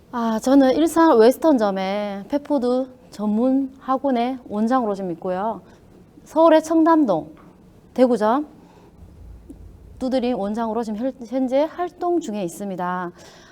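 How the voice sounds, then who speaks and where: A woman with a Daegu accent speaks fairly slowly in a high pitch, her intonation lively and her speech broken by long, frequent pauses. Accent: Gyeongsang dialect (Daegu). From Daegu, South Korea. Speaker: pet food academy director. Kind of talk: lecture.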